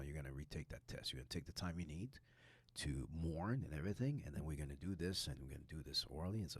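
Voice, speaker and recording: Speaking at a very fast pace, a man with a very deep, low voice uses vocal fry and ordinary pitch variation. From Quebec. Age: 60s. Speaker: high school teacher and former elite soccer player. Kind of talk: podcast interview. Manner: animated.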